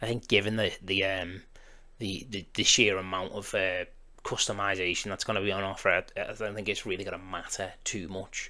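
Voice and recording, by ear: A man speaks at a fairly quick pace in a bright, sharp tone.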